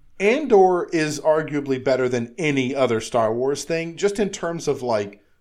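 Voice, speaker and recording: At a moderate pace, a man with a plain, everyday voice speaks at a fairly high pitch with lively intonation. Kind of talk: casual chat.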